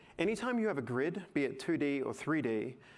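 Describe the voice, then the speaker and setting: A man is speaking. Some room echo can be heard. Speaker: tech artist presenter. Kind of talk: conference talk, live software demo. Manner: fast.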